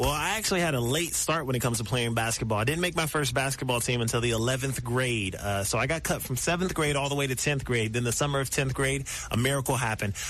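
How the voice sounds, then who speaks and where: A man with an American accent talks at a very fast pace with hardly any pauses, at medium pitch with ordinary variation and very even loudness. Noticeable background noise and audible room echo fill the recording. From US Midwest, Columbus, Ohio. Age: 20s. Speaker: professional basketball player. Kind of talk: radio interview.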